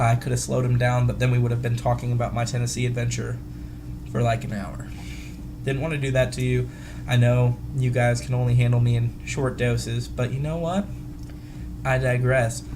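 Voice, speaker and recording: A man talks at a fairly quick pace, broken by long, frequent pauses. Noticeable background noise and audible room echo fill the recording. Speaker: vape community video host. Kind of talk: casual vlog. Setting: hotel room. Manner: animated; fast.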